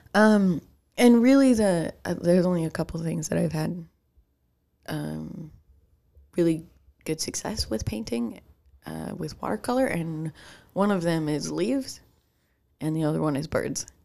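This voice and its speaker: With a Chicago accent, a woman at a fairly low pitch speaks at a moderate pace, her pitch swinging very widely between long, frequent pauses. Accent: Midwestern US, Chicago-tinged. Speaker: podcast co-host. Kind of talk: casual chat.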